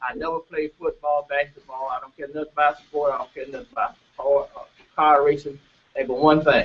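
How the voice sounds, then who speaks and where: Talking at a fairly quick pace, a man keeps his intonation fairly even while his loudness swings widely. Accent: Mississippi. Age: 60s. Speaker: farmer and cooperative representative. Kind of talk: panel talk. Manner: halting.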